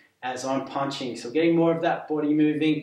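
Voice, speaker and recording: A man speaks at a moderate pace in a monotone, flat way, with audible room echo around him. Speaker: physiotherapist fitness instructor. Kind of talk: exercise class instruction. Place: home room.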